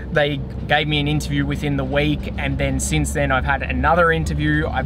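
A man at a fairly quick pace, the sound dry with no echo, amid noticeable background noise. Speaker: vlogger. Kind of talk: casual vlog chat. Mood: excited about new job. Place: car. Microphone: phone near.

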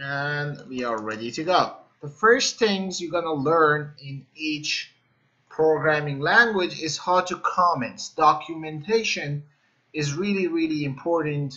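Against a quiet background, a man speaks at a fairly slow pace with ordinary pitch variation. His loudness swings widely. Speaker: programming instructor. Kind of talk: tutorial. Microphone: webcam.

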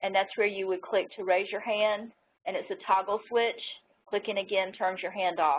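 With light background noise behind her, a woman speaks in a monotone, flat intonation. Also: moderate pace. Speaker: technical assistant and co-presenter; presenter. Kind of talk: webinar instructions. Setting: online webinar. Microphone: video call.

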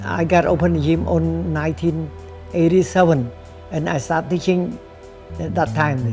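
In a Cambodian accent, a man talks at a moderate pace with a fairly low pitch and very wide pitch swings while faint music plays in the background. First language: Khmer. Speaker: kickboxing trainer. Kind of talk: interview answer. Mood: sad, reflective. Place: gym. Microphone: lapel.

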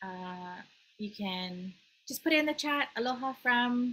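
A woman talks in a bright, sharp tone. Light background noise runs underneath. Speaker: webinar host. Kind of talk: host introduction and housekeeping. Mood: friendly, smiling. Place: home room. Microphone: video call.

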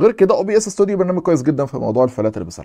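With music in the background, a man speaks with lively intonation in an Egyptian accent. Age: young. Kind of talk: casual Q&A chat.

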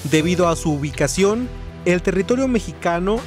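Background music is playing. Over it, a man speaks at a moderate pace. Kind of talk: news feature narration.

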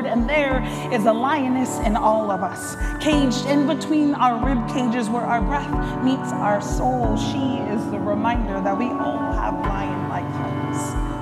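The speech moves at a fairly slow pace while loud music plays in the background. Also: woman. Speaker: spoken word poet. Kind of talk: spoken word poetry performance. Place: hall. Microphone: lapel.

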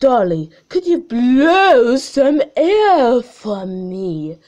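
Using a put-on character voice, a woman speaks very slowly at a high pitch with very wide pitch swings. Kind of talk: acted storytelling. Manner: formal, polite.

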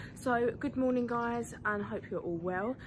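Noticeable background noise runs beneath a woman talking at a fairly slow speed. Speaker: horse owner vlogger. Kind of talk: casual vlog chat. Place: farm machine. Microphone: phone near.

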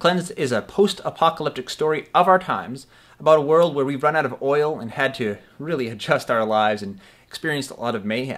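Very fast delivery with lively intonation, on a very clean recording against a silent background. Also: man, fairly high pitch for a man, big swings in loudness. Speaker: audio drama director. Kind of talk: promotional pitch to camera. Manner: casual.

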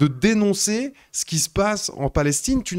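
Against a quiet background, a man's pitch swings very widely. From Switzerland. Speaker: live stream host. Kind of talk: casual chat. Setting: live stream studio. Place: home room. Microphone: handheld.

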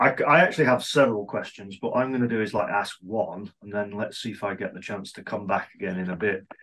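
At a fairly quick pace, a man with a plain, everyday voice talks with a fairly low pitch and ordinary pitch variation. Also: big swings in loudness. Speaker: activity theory researcher; audience member. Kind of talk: seminar Q&A. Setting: video call. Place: office. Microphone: video call.

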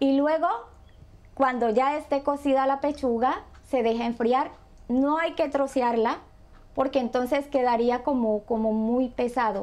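A woman speaks at a fairly slow pace in a high pitch, with fairly even intonation. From Colombia, Buenaventura (Pacific coast); Colombia. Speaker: home cook; guest. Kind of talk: cooking tutorial. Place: kitchen.

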